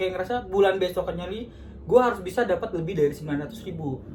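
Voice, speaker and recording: Speech rushes by at a very fast pace against noticeable background noise. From North Sumatra, Medan. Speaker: insurance telemarketer. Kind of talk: casual podcast chat.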